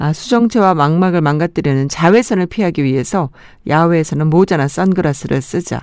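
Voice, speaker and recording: Recorded very cleanly against a silent background, a plain, everyday voice moves at a fairly quick pace with ordinary pitch variation. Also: woman, fairly low pitch for a woman. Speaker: radio host. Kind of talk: radio show with listener messages and music. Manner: warm, friendly.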